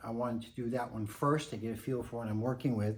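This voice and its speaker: Audible room echo surrounds the voice. A man speaks at a medium pitch. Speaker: picture framer. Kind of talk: tutorial.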